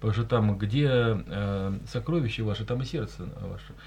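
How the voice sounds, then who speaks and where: With a dark, mellow tone and fairly low pitch, a man speaks at a moderate pace, somewhat breathy and with ordinary pitch variation. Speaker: radio host, journalist. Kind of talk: live radio talk show. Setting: studio.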